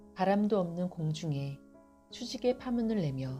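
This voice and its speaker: Over music in the background, a woman with a very deep, low pitch speaks very slowly in a calm tone, her pitch swinging very widely. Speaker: poetry reader. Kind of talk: poetry reading. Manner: calm, soft-spoken.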